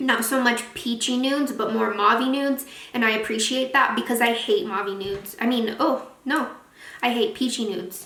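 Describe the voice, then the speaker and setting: A high-pitched woman talks with ordinary pitch variation against noticeable background noise. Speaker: beauty youtuber. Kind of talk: product review vlog. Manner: fast; casual, chatty.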